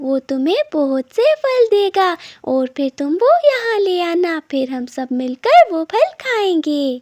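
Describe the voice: This cartoonish character voice takes very wide pitch swings at a fairly slow pace. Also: woman.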